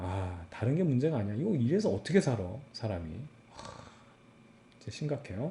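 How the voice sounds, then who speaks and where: This man talks at a fairly quick pace in an animated tone, his pitch swinging very widely. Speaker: physics teacher. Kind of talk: lecture. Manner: casual, animated.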